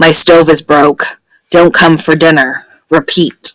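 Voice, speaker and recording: A put-on character voice, raspy and middle in pitch. The delivery comes at a fairly slow pace. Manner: slow, labored.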